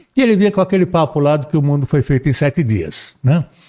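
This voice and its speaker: Dark and mellow in tone, a man speaks with ordinary pitch variation. The sound is dry and close with no echo. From Brazil, São Paulo. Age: 70s. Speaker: spiritist speaker. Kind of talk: podcast interview, storytelling. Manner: halting, many repetitions.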